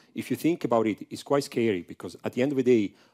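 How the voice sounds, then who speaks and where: In a strong Italian accent, a man talks with a dark, mellow tone and ordinary pitch variation. The sound is dry and close, with no echo. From Italy. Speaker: professor. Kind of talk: conference talk. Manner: halting, many fillers.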